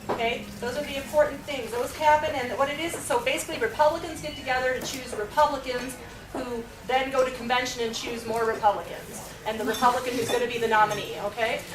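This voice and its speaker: With a New York accent, a woman talks at a very fast pace in a high pitch and fairly even intonation, with audible room echo and noticeable background noise. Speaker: county party chair. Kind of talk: presentation to a meeting.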